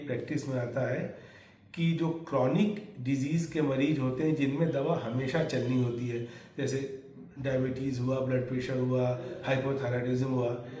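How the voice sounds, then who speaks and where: Audible room echo surrounds a man's voice. His pitch is fairly high, with ordinary pitch variation. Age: 70s. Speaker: doctor. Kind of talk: interview.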